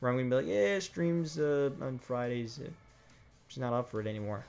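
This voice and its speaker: With music in the background, a man speaks at a very fast pace with lively intonation. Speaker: gaming YouTuber and streamer. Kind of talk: casual monologue, channel update ramble. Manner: rambling, hesitant with fillers and repeats.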